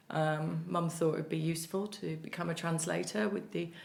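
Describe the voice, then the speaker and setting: Audible room echo surrounds a woman who talks fairly quickly at a fairly low pitch. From Merseyside, north-west England. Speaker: playwright and cancer survivor. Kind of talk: podcast interview. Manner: fast.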